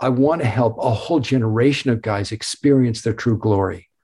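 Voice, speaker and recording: On a very clean recording with a silent background, a man speaks at a moderate pace and medium pitch. His tone is dark, mellow and somewhat breathy, with ordinary pitch variation. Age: 70s. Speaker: author. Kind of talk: interview.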